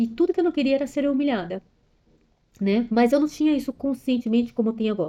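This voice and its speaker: A woman talks at a very fast pace and a high pitch, her intonation lively and her loudness very even. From São Paulo area, Brazil, to parents from Ceará. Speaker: personal development vlogger. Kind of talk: personal testimony monologue. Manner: fast, clipping words.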